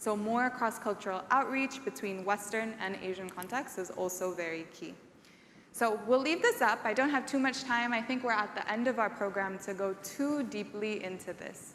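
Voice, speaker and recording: A woman with a fairly high pitch speaks at a moderate pace, with ordinary pitch variation. Audible room echo surrounds her voice. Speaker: event emcee. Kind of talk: conference presentation. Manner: loud.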